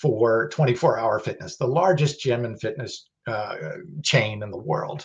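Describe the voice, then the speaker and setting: A man's somewhat breathy voice at a very slow pace. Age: 50s. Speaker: supplement company founder and host; host. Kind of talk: educational livestream talk. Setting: livestream video. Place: home room. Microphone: webcam.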